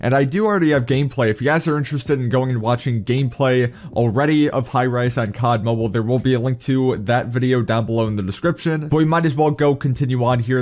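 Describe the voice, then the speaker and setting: Speaking at a fairly quick pace, a man with a medium-pitched voice shows ordinary pitch variation. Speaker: gaming YouTuber. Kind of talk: gaming news commentary. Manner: soft-spoken.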